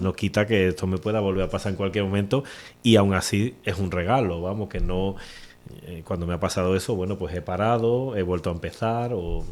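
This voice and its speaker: On a very clean recording with a silent background, a man with an Andalusian accent speaks in a very deep, low pitch. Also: fairly quick pace. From Cádiz province, Andalusia, Spain. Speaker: poet. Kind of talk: interview answer.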